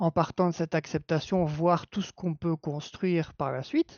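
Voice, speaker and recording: A man with a Belgian accent speaks at a fairly slow pace in a fairly high pitch. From Belgium. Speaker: clinical psychology assistant. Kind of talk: live-stream panel discussion.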